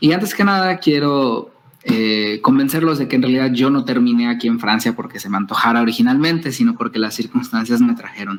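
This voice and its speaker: With a Mexican accent, a man speaks at medium pitch and a fairly quick pace. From Mexico, Nayarit (Tepic). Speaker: scientist. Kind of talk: lecture.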